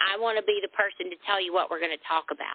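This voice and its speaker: A woman speaks with a Southern US accent. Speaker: lingerie boutique owner. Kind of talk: interview answer.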